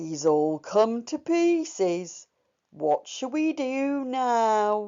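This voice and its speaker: A female-sounding voice takes on a put-on character voice, pitched fairly high with very wide pitch swings. The pace is very slow. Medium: read story.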